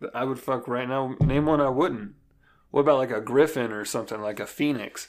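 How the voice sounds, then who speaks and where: Speaking at a fairly quick pace, a man has an unremarkable speaking voice with medium pitch and fairly even intonation. The recording is very clean, and the background is silent. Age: 20s. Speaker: podcast co-host. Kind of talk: casual chat.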